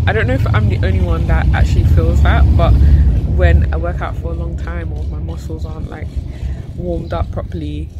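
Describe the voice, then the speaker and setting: Loud background noise sits behind a woman speaking at a moderate pace with ordinary pitch variation. The sound is dry with no echo. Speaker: travel vlogger. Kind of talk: casual vlog chat. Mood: amused, recounting a tiring walk. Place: street. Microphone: phone near.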